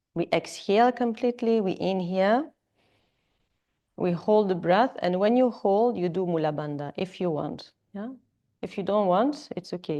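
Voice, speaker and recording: With a French accent, a woman speaks at a medium pitch in a dark, mellow tone. Her intonation is lively and her pace moderate. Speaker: yoga teacher. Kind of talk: live yoga class instruction. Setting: yoga studio with students. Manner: hesitant, filler-heavy.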